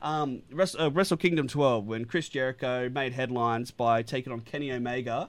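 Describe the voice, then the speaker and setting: With an Australian accent, a man talks at a fairly quick pace with hardly any pauses. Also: medium pitch for a man, ordinary pitch variation. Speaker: radio host. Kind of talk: radio show banter about wrestling. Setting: radio studio. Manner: animated, enthusiastic.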